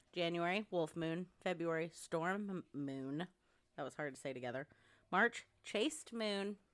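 With an animated tone and ordinary pitch variation, the speaker goes at a fairly slow pace on a very clean recording with a silent background. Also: woman, fairly low pitch for a woman. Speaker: podcast host. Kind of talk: casual chat. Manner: animated, joking.

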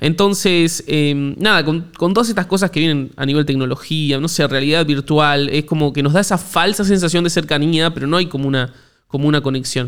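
With a Rioplatense accent, a man of fairly high pitch speaks at a fairly quick pace, his pitch varying in an ordinary way. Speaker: podcast host. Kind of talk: casual interview chat. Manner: halting, repetitive.

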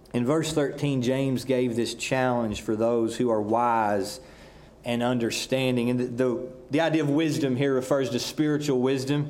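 Speaking with a Southern US accent, a man keeps a moderate pace, very even loudness and fairly even intonation. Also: medium pitch for a man. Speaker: pastor. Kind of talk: sermon. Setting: church.

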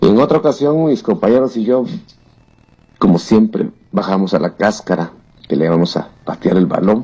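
Pausing long and often, a man speaks in a fairly low, dark, mellow voice with very wide pitch swings. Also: moderate pace. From Oaxaca, Mexico. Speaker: listener giving testimony. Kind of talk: recorded testimony.

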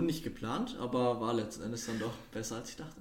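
A man is speaking. Audible room echo and noticeable background noise come through. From Würzburg, Franconia, Germany. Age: 20s. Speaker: podcast guest, student. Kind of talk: casual chat.

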